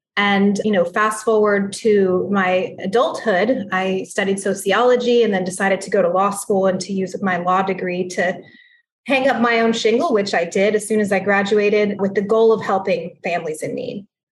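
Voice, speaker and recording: Intonation is fairly even throughout. The speech moves at a moderate pace. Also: woman, medium pitch for a woman. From Texas, San Antonio. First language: Spanish. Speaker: judge. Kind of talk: interview.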